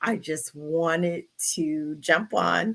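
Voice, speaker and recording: A woman's fairly low voice, bright and sharp in tone, with ordinary pitch variation. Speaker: video blogger living with MS. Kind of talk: live stream Q&A chat.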